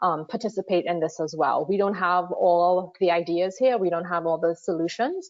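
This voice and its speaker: In a Trinidadian accent, a woman speaks at a fairly low pitch with ordinary pitch variation. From Trinidad and Tobago. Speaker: water affordability consultant. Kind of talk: webinar presentation. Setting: online webinar.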